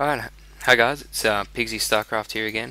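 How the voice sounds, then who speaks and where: Mumbling in an American accent, a man speaks at a fairly low pitch. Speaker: video game tutorial creator. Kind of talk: gameplay commentary tutorial. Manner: casual, many fillers.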